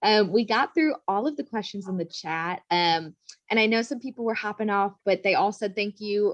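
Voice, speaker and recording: In a Chicago accent, a woman speaks at a very fast pace with ordinary pitch variation, the sound dry and close with no echo. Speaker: event host. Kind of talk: webinar moderation.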